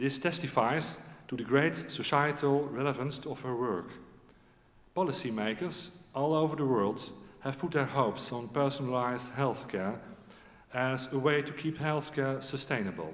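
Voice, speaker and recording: His speed sits in the middle range. The man's pitch rises and falls as usual. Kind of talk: formal ceremony speech. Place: hall. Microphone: podium.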